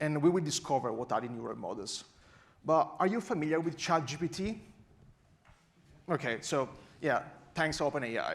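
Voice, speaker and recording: A man with a strong Italian accent and a fairly high voice, with long, frequent pauses. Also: lively intonation, moderate pace. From Italy. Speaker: AI researcher and conference speaker. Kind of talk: conference talk.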